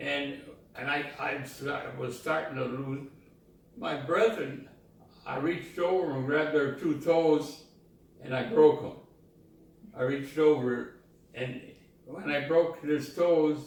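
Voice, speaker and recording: Over noticeable background noise, a man with a fairly high pitch talks at a very slow pace, with fairly even intonation and long, frequent pauses. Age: 80s+. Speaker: war veteran. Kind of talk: interview answer.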